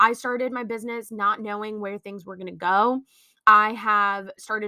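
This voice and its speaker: Fairly high-pitched and fairly quick, a woman speaks with fairly even intonation in a dry, close sound with no echo. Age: 20s. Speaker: podcaster and small business owner. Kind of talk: casual monologue. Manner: free-flowing, unscripted.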